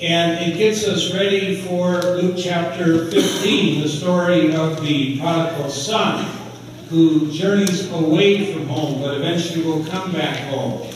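A high-pitched male voice, very slow and fairly even in intonation, amid strong room echo and noticeable background noise. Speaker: pastor. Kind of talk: sermon. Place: church.

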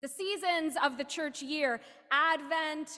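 A woman uses a raised, projected voice with a bright, sharp tone. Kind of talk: liturgical call to worship and welcome. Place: church. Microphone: podium.

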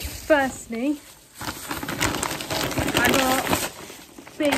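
A woman talks while loud background noise fills the recording. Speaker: student vlogger. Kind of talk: casual vlog chat. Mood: playful, self-mocking. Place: home room. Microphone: phone near.

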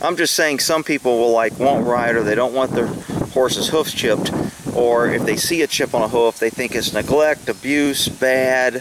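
Over noticeable background noise, a man talks at a moderate pace, the sound dry with no echo. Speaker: trainer. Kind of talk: casual vlog chat. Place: open country. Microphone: phone near.

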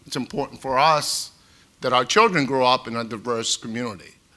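Speaking with a Boston accent at a moderate pace, a man uses a medium pitch with ordinary pitch variation and a bright, sharp tone. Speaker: retired FBI agent, home seller; home seller. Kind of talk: panel discussion. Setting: stage with audience, live-streamed. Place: hall. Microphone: lapel.

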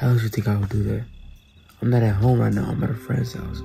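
A man speaks quietly. Clear music plays in the background. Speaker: YouTuber. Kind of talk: casual vlog chat. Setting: at a friend's house. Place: home room. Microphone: phone near.

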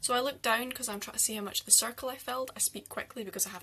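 A woman speaks at a very fast pace. Her fairly high pitch comes with a bright, sharp tone.

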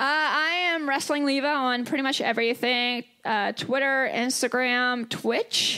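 A woman uses a raised, projected voice at a high pitch, with fairly even intonation, a fairly slow pace and very even loudness. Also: quiet background. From Kentucky. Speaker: pro wrestler. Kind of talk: live podcast chat. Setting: stage with audience. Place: stage.

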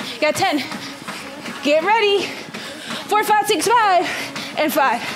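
A woman's extremely high voice at a fairly slow pace, with clear music in the background. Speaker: fitness instructor. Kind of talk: workout coaching cues. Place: home room.

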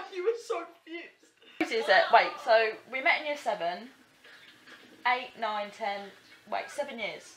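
A high-pitched woman with an Essex accent speaks at a moderate pace, with very wide pitch swings and big swings in loudness. She leaves long, frequent pauses over light background noise. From Essex, England. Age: young. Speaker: vlogger. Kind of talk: casual vlog talk to camera. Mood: playful, chatty. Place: home room. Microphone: phone near.

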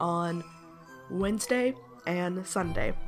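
Music can be heard in the background. The speaker is a woman. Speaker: gaming video creator. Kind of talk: casual talk to camera.

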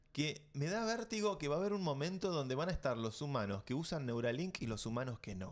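A man speaks at a fairly quick pace in an Argentine accent. His pitch swings very widely. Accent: Argentine Spanish (Rioplatense). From Argentina. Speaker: tech podcast host. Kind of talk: casual chat. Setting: studio. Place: studio. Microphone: studio mic.

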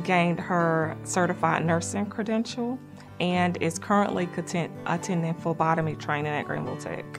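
A woman's fairly low voice with very wide pitch swings over clear music in the background. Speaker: program staff member. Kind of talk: interview answer. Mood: warm, proud. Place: studio.

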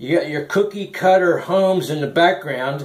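Against a quiet background with audible room echo, a man speaks in a high pitch. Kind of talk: casual show-and-tell narration. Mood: folksy, wry humor. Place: home room. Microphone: phone near.

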